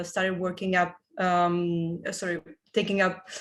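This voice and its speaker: With an Italian accent, a woman speaks at a fairly slow pace and a medium pitch. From Italy. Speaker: business consultant. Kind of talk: panel discussion.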